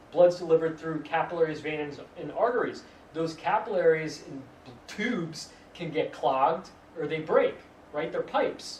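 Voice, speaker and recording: A man speaks with a high voice. Noticeable background noise and audible room echo are present. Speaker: acupuncturist giving a health talk. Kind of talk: lecture. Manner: fast.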